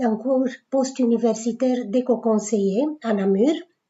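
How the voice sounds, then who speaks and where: A woman's fairly high voice with fairly even intonation. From Romania (Bucharest). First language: Romanian (speaking French). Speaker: writer. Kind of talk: self-presentation. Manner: hesitant, with frequent fillers.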